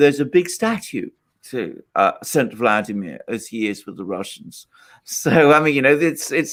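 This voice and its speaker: A man with a British accent, vocal fry, lively intonation and a moderate pace. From Britain. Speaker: political commentator. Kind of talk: live call-in show discussion. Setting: live stream. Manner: measured, careful wording.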